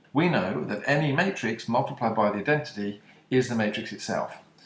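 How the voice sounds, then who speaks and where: Lively intonation carries this British-accented speech along at a moderate pace. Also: man. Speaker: maths teacher. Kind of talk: maths lesson video.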